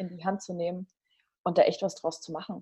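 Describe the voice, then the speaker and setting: A woman's somewhat breathy, dark, mellow tone at a very fast pace. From Bavaria, Germany (Regensburg). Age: 30s. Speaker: life coach. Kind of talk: casual interview. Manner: animated.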